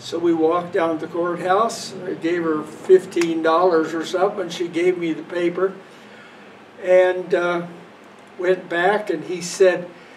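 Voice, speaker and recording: Over noticeable background noise, a high-pitched man with an American accent speaks at a fairly slow pace in a flat monotone. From US Midwest (Western Kansas). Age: 80s+. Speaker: parishioner, retired runner. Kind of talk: storytelling. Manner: casual, relaxed.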